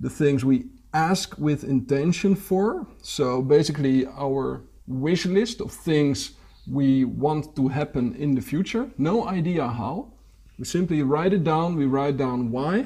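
A fairly high, somewhat breathy man's voice, dark and mellow in tone, with lively intonation. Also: fairly slow pace. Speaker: podcast host. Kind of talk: casual interview chat.

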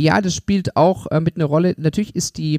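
The speaker is a man. Ordinary pitch variation runs through his delivery. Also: dry, close sound with no echo. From Germany, Stuttgart (Swabia). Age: 30s. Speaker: mayor and mayoral candidate. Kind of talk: interview.

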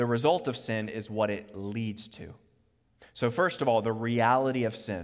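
There is audible room echo as a man with an American accent talks at a moderate pace, medium in pitch with ordinary pitch variation. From US, Virginia (Charlottesville). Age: 30s. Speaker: preacher. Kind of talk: sermon.

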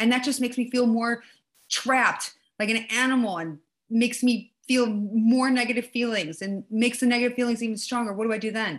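A plain, everyday voice, a woman at a fairly high pitch and a fairly quick pace. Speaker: podcast host. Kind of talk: guided meditation; casual spiritual conversation.

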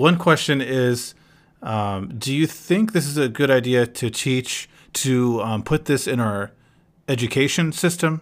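A man with an American accent and a normal speaking voice speaks at a fairly slow pace and medium pitch, on a very clean recording with a silent background. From North Carolina, US, with some years in Palestine. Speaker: podcast host. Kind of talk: casual chat.

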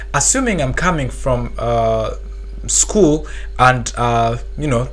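A man is speaking with audible room echo. Background noise is noticeable. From Uganda. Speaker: medical graduate. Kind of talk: podcast interview. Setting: studio. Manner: halting.

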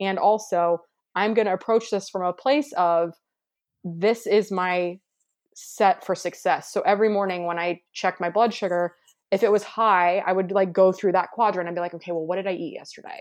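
Against a quiet background, a woman with a normal speaking voice and an American accent talks at a medium pitch and a moderate pace. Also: fairly even intonation. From US Midwest. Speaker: hiking movement founder and former skydiver. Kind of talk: casual interview.

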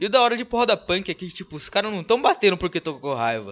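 A man at a fairly quick pace. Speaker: podcast host. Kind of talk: casual chat. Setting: live stream.

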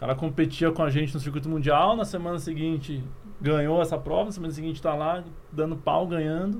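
A man's fairly high-pitched voice with fairly even intonation, heard with audible room echo. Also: fairly quick pace. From Curitiba, southern Brazil. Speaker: former Olympic triathlete, youth sports project leader. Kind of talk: casual interview.

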